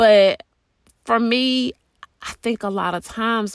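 Recorded very cleanly against a silent background, a woman talks at a fairly slow pace with ordinary pitch variation in a dry, close sound with no echo. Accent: Southern US. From US South. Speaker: podcast host. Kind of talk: solo podcast monologue. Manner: casual with frequent fillers.

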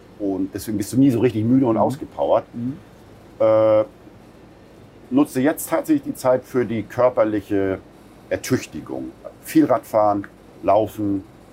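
Ordinary pitch variation marks this man's speech. His pitch is medium. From northern Germany, Buxtehude. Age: 50s. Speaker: restaurateur. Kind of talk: interview.

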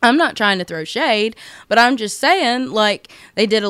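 A woman with an American accent has a normal speaking voice, speaking at a moderate pace with ordinary pitch variation. The recording is very clean with a silent background. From United States. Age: 20s. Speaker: podcast host. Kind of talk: casual monologue.

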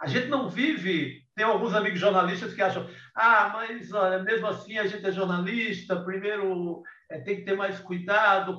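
A man speaks in a raised, projected voice with a high pitch and fairly even intonation. His pace is moderate, and audible room echo surrounds him. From Ceará, Brazilian Northeast (Cariri). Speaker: writer and journalist. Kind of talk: casual interview. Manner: halting, many repetitions.

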